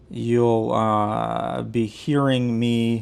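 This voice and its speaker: Fairly even intonation marks this man's speech. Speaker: tech reviewer. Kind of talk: product review. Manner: casual, with fillers.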